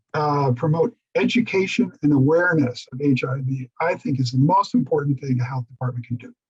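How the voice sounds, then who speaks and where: A man speaks with a fairly high pitch, lively intonation and a somewhat breathy quality. He hardly pauses, and the sound is dry and close with no echo. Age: 70s. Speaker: AIDS survivor presenter. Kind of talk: Q&A answers in online forum.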